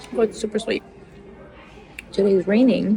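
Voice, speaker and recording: Medium-pitched female speech with noticeable background noise. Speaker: vlogger. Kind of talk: casual vlog talk.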